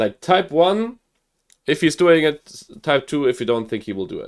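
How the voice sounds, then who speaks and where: A man with a German accent speaks at a moderate pace. His pitch swings very widely. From Germany (Hamburg). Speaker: gaming streamer. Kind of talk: live game commentary. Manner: animated; halting.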